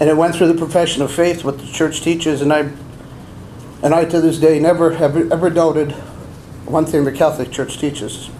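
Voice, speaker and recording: Over noticeable background noise and audible room echo, a man speaks fairly quickly at a fairly high pitch in a flat monotone, with long, frequent pauses. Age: 60s. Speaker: abuse survivor and deacon candidate. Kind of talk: testimony. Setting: press conference.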